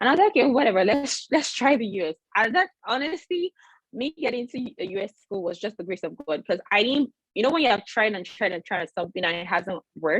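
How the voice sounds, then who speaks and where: A woman talks at a very fast pace with lively intonation. The sound is dry and close, with no echo. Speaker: dentist. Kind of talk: webinar talk. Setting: video call.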